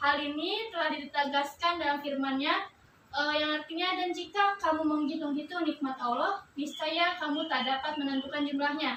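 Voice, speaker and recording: A woman projects a raised voice with a high pitch, a bright, sharp tone and fairly even intonation. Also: moderate pace. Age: 20s. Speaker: student teacher. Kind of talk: classroom lesson.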